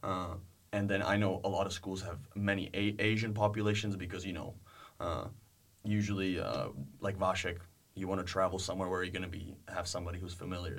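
A man with a Czech accent and a very deep, low pitch talks at a fairly quick pace. His intonation is monotone and flat, and audible room echo surrounds the voice. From Czech Republic, Prague. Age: 20s. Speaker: university student tennis player. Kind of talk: interview.

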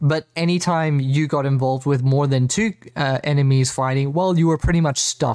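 A man with an Australian accent talks at a fairly quick pace in a fairly high pitch, with hardly any pauses. His intonation is fairly even, his loudness very even, and the sound is dry and close with no echo. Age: 30s. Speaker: gaming podcast host. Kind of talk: casual chat.

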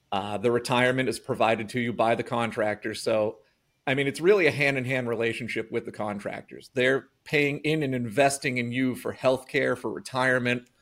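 A man with an American accent speaks at a fairly quick pace, his medium-pitched voice held to fairly even intonation. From Massachusetts. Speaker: electrician. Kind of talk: interview. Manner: hesitant with fillers.

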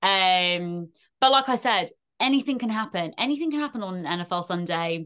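A woman with a British accent speaks at a fairly quick pace, her medium-pitched voice bright and sharp in tone with lively intonation. The background is quiet. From UK. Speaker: NFL fan content creator. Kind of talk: casual chat. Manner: animated.

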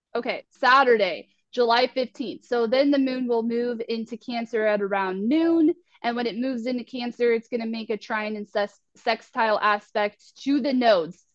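Here is a woman with an unremarkable speaking voice, fairly high in pitch, moving at a moderate pace with ordinary pitch variation. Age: 30s. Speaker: astrologer and spiritual life coach. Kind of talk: casual astrology forecast chat.

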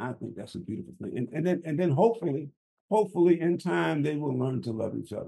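A man's fairly high yet dark, mellow voice with vocal fry, lively intonation and a very fast pace. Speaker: podcast co-host, construction engineer. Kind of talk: marriage advice podcast conversation. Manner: halting, repeats words.

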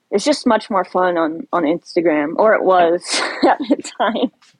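With an American accent, a woman speaks in an unremarkable speaking voice at medium pitch, moderate pace and lively intonation. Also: dry, close sound with no echo. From Ohio, US Midwest. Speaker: social media poster. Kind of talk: casual chat.

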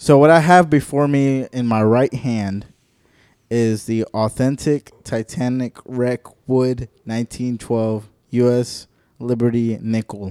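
Very slow, fairly even-toned speech from a man with an American accent, a dark, mellow tone, and medium pitch, dry and close with no echo in a very clean recording with a silent background. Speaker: podcast host. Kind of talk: casual chat.

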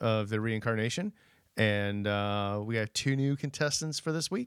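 A man with a plain, everyday voice talks at a moderate pace and medium pitch with ordinary pitch variation. The recording is very clean, dry and close with no echo, with a silent background. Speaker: podcast co-host. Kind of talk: casual banter. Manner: joking, playful.

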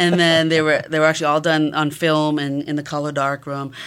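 A woman's very deep, low voice in a Massachusetts accent. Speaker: photography professor. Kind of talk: interview.

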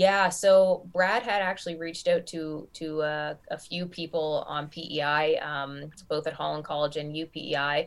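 With hardly any pauses, a woman talks at a fairly slow pace in a fairly low pitch and fairly even intonation, in a very clean recording with a silent background. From Nova Scotia, Canada. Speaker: basketball league commissioner and coach. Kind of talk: interview.

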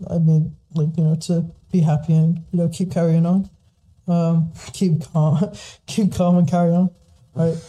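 A man with an American accent speaks in a high pitch with a dark, mellow tone. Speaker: podcast host. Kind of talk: casual chat. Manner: fast.

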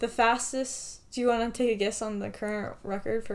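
A woman with an American accent speaks in an ordinary speaking voice, at a fairly high pitch and with fairly even intonation. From US Southwest, Farmington, New Mexico. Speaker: podcast co-host. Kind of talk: casual chat; scripted report reading.

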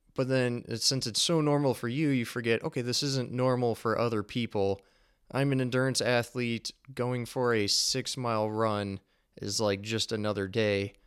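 A normal speaking voice from a man, medium in pitch with fairly even intonation and a moderate pace, on a very clean recording with a silent background. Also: very even loudness. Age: 20s. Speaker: podcast host, engineer and endurance athlete. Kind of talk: solo podcast monologue.

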